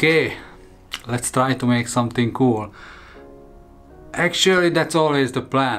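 Faint music plays behind a man who speaks at a fairly slow pace with ordinary pitch variation. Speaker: woodturning channel host. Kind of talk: casual vlog chat. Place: workshop.

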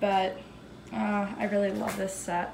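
The pace is fairly slow, with little pitch movement, a slightly mellow tone and vocal fry. Room echo is audible. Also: woman, medium pitch for a woman.

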